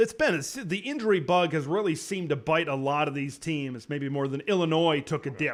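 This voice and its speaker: A man with an American accent and an ordinary speaking voice, fairly high in pitch, at a fairly quick pace with hardly any pauses and ordinary pitch variation. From Wisconsin, US Midwest. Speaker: college football commentator. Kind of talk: casual sports talk.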